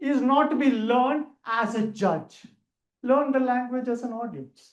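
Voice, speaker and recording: The speaker talks at a fairly slow pace with a Keralan accent. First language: Malayalam. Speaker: public speaking trainer. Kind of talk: training lecture.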